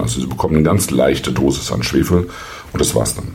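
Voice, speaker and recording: Over noticeable background noise and audible room echo, a man with a very deep, low pitch talks fairly quickly with ordinary pitch variation. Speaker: wine podcast host. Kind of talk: solo wine review monologue. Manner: hesitant with frequent fillers.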